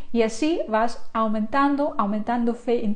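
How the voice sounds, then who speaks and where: Against a quiet background, a woman with a fairly high pitch speaks at a very slow pace. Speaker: online creator and course instructor; online creator, course instructor. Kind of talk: live stream talk to viewers. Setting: live stream. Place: home room. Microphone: lapel.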